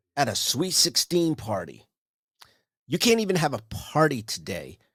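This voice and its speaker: A man talks at a fairly slow pace in an animated tone, his pitch swinging very widely. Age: 60s. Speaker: podcast host. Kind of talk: solo monologue rant. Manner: halting.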